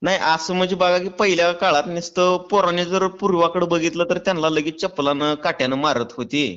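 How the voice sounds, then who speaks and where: A high-pitched man's voice, fairly even in intonation and very even in loudness. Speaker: prank caller, farmer YouTuber. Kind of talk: prank call. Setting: phone call from home. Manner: playing drunk, rambling.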